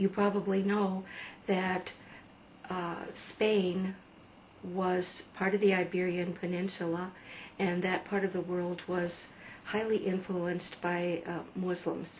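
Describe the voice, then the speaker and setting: A woman speaks in a flat monotone at a very slow pace, with long, frequent pauses over noticeable background noise. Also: medium pitch for a woman. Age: 50s. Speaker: convert telling her story. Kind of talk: testimony. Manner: hesitant with fillers.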